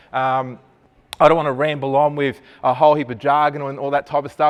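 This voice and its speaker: An animated man with an Australian accent, a fairly high pitch and a fairly quick pace. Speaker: digital marketing presenter. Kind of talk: presentation to live audience. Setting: room with live audience, no microphone.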